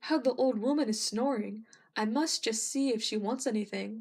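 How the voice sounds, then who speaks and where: Using a put-on character voice, a woman speaks at a moderate pace with a fairly high pitch and very even loudness. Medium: read story.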